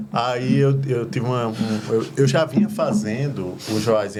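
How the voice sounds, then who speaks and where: Amid noticeable background noise, a man's voice carries audible room echo. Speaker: deacon and gospel singer. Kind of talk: testimony.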